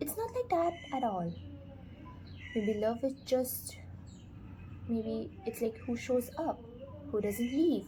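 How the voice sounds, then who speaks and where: Over noticeable background noise, a woman talks in a calm tone. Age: 20s. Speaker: book reviewer. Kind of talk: casual talk to camera. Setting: earbud microphone. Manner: calm, reflective.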